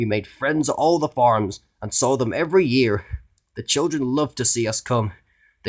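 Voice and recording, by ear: With little behind it but a quiet background, the reading aloud is done in a natural voice.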